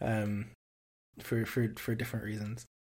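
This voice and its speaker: A man talks at a moderate pace in a medium pitch, somewhat breathy. The recording is very clean, with a silent background. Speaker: podcast co-host, university student. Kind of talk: casual chat.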